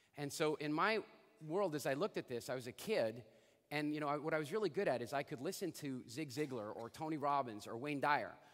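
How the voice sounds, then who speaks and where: This man talks at a fairly quick pace with a fairly high pitch and ordinary pitch variation, an ordinary speaking voice. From Canada. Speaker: motivational speaker. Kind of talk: keynote talk. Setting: stage with audience.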